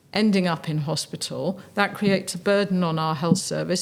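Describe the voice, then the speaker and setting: A woman's fairly low voice in an English accent, fairly quick and delivered in a flat monotone. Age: 60s. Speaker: charity chief executive. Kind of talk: interview.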